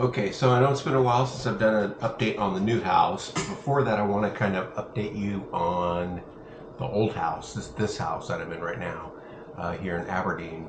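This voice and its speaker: A man's fairly low voice with an American accent at a moderate pace, ordinary pitch variation, noticeable background noise and audible room echo. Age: 60s. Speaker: vlogger. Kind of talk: casual video update. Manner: halting, many fillers.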